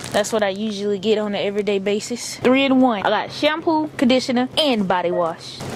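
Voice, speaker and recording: Amid noticeable background noise, a woman with a fairly high pitch and lively intonation talks at a fairly quick pace with hardly any pauses. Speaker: vlogger. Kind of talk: vlog narration.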